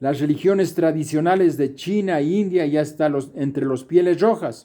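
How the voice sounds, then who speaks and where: In a dark, mellow tone, a man speaks at a fairly slow pace with ordinary pitch variation. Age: 70s. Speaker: retired university professor. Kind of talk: lecture.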